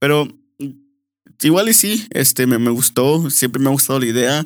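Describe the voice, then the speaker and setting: A man talks with an unremarkable speaking voice at medium pitch. His pace is moderate. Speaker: host's brother, guest. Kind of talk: casual chat.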